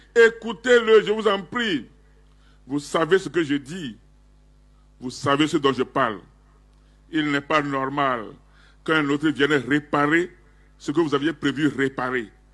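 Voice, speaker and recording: The speaker goes at a very slow pace with long, frequent pauses and lively intonation against a quiet background. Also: man. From Togo. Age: 70s. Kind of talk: public statement. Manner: formal.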